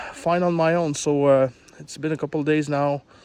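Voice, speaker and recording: Speaking fairly slowly, a man talks with a French accent. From Quebec, Canada. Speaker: truck owner vlogger. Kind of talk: casual video explanation. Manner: halting, many fillers.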